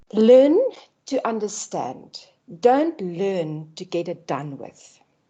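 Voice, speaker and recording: Very slowly and with a non-native accent, a woman speaks at medium pitch in a dark, mellow tone, her pitch swinging very widely and her loudness shifting a lot. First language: not English. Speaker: lecturer. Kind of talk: online orientation talk. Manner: animated.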